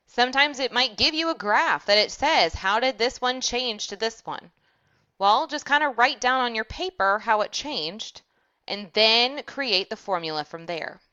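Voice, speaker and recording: A woman speaks with an unremarkable speaking voice at a moderate pace. Her pitch is fairly high, and her intonation is lively. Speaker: math teacher. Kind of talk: tutorial. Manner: casual.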